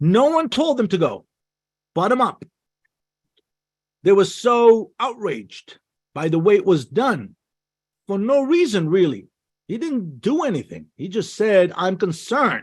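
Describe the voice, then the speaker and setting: A man with a high voice speaks at a fairly slow pace, his pitch swinging very widely between long, frequent pauses. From Israel. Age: 60s. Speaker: diplomat and speaker. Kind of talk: webinar talk. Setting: video call.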